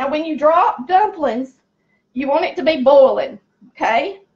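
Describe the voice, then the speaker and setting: A woman with a high pitch speaks loudly in a Southern US accent. Her intonation is lively. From US South, rural. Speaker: cooking channel host. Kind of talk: cooking tutorial. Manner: chatty, folksy.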